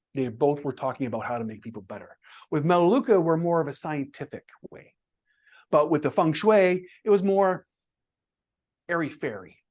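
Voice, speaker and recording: Fairly high-pitched man with lively intonation, big swings in loudness and long, frequent pauses, over a quiet background. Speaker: public speaking club member, graphic designer. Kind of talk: interview. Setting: podcast interview. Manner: fast.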